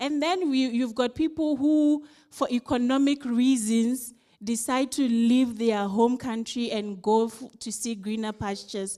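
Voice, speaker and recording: Speaking at a fairly slow pace, a woman with a Ghanaian accent has a high pitch, ordinary pitch variation and a dark, mellow tone. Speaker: civil society delegate giving feedback. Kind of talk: conference report-back.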